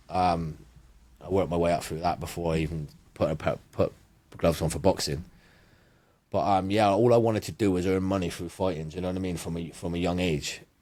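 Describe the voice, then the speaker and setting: A man with a Bristol accent speaks very fast with a very deep, low pitch and a dark, mellow tone, yet leaves long, frequent pauses. His intonation is fairly even, and the recording is very clean with a silent background. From England, Bristol. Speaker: power slap fighter. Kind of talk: casual interview chat. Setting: studio.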